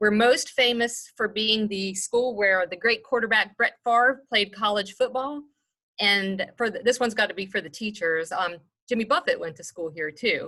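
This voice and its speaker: With a Mississippi accent, a woman speaks at a moderate pace in a fairly high, bright, sharp tone with ordinary pitch variation. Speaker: human resources executive. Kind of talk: presentation. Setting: video call. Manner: casual.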